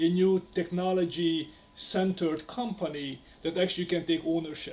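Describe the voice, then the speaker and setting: A man with a Hungarian accent speaks in a high, monotone, flat voice over noticeable background noise. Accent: Hungarian accent (jokingly called southern). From Hungary. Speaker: real estate agent. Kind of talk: podcast interview. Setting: restaurant.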